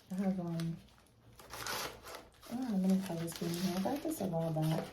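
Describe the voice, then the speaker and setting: A fairly low-pitched woman with an American accent, moderate pace and ordinary pitch variation, amid noticeable background noise. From New York City. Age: 30s. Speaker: nail technician. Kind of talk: casual talk to camera.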